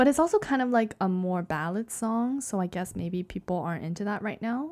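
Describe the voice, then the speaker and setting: The delivery is an ordinary speaking voice with lively intonation. The pace is moderate, with hardly any pauses. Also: woman. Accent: Canadian. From Canada. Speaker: podcast co-host. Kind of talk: casual chat.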